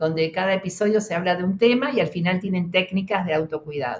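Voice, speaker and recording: A woman with an Argentine accent talks at a fairly quick pace, her medium pitch varying in an ordinary way. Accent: Argentine Spanish (Rioplatense). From Argentina. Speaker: psychologist, emergency specialist. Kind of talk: interview conversation.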